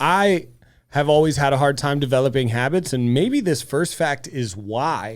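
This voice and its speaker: A man talks at a moderate pace and fairly high pitch, with ordinary pitch variation. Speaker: podcast co-host. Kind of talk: casual chat. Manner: loud. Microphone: soft mic, needs to be close.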